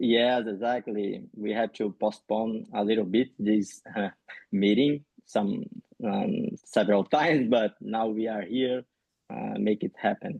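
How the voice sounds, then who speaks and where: In a Rio de Janeiro accent, a man speaks at a fairly slow pace with vocal fry and ordinary pitch variation. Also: medium pitch for a man. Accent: Brazilian Carioca accent in English. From Brazil, Rio de Janeiro. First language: Portuguese. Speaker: physiotherapist and researcher. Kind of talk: podcast interview. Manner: halting, many fillers.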